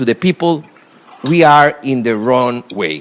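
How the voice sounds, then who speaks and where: A man speaking at a fairly slow pace, with noticeable background noise. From Costa Rica. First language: Spanish. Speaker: former government minister, guest lecturer. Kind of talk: lecture; reading prepared remarks aloud. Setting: university lecture hall with audience. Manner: halting, many fillers.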